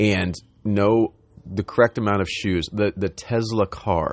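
A man is speaking. He keeps a fairly slow pace. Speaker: spiritual content creator. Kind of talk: spiritual monologue. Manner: rambling.

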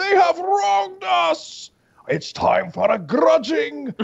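The voice is a put-on character voice at a fairly high pitch. It moves at a very slow pace. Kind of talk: archaic fantasy speech. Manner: gruff, grudging.

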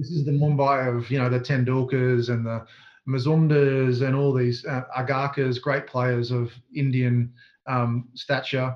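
With an Australian accent, a man speaks at a medium pitch and a fairly slow pace in a monotone, flat intonation. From Australia, southeast Queensland. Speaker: sports coaching consultant. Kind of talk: interview.

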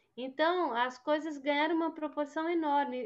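A woman speaks with ordinary pitch variation. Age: 60s. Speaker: publisher and journalist. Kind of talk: interview conversation.

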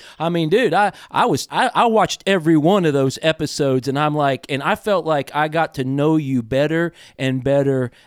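A man with a fairly high pitch speaks at a moderate pace with lively intonation, in an ordinary speaking voice. The recording is very clean, with a silent background. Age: 50s. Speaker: podcast host and outdoor TV host. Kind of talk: casual interview chat.

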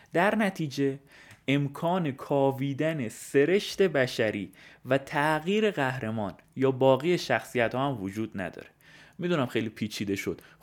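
Recorded very cleanly against a silent background, a man in a normal speaking voice talks at a fairly slow pace, fairly high in pitch and with lively intonation. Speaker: podcaster. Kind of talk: scripted narration.

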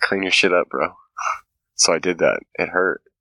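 A man's bright, sharp voice carries vocal fry in a dry, close recording with no echo. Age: 30s. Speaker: podcast host, social worker. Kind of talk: casual chat. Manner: animated.

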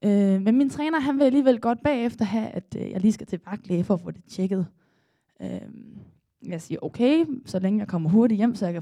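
Somewhat breathy and dark and mellow in tone, a woman's fairly high voice moves at a moderate pace with lively intonation. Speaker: storyteller, former swimmer. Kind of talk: live storytelling. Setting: stage with audience.

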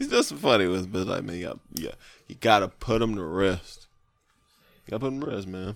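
This man's voice sits fairly low, with ordinary pitch variation and big swings in loudness. He talks at a fairly quick pace but leaves long, frequent pauses. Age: 30s. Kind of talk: casual banter, comedic podcast chat.

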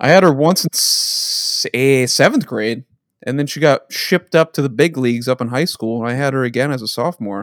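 In a very clean recording with a silent background, a man with an American accent talks at a fairly quick pace with a normal speaking voice. His pitch is fairly high, with ordinary variation. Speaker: podcast host. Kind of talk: casual banter between friends.

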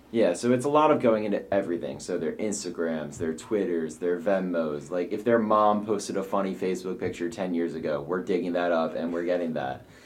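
Very deep and low in pitch, a man talks at a fairly quick pace with hardly any pauses and ordinary pitch variation. Audible room echo and noticeable background noise surround his voice. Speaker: college student. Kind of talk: interview.

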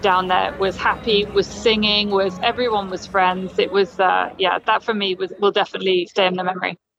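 Over music in the background, a woman speaks at a fairly quick pace with medium pitch. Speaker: journalist reporting from Doha. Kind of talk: casual interview chat. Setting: remote interview from Qatar.

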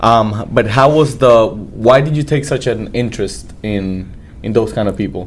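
In a plain, everyday voice, a man speaks at medium pitch and a moderate pace, with ordinary pitch variation. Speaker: podcast host. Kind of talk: interview for a chamber of commerce show. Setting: studio.

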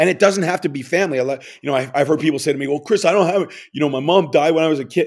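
Rattling along at a very fast pace, a man with a fairly high voice speaks in a New York accent. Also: ordinary pitch variation. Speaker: author and funeral home owner. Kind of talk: casual interview chat.

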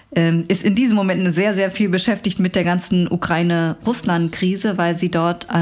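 At a moderate pace, a woman talks in a plain, everyday voice with fairly low pitch and ordinary pitch variation. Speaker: journalist and author. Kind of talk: interview conversation.

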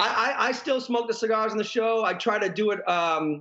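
A man speaks in a high pitch. His pitch varies an ordinary amount. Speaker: TV fishing show host. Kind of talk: casual chat. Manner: loud; animated.

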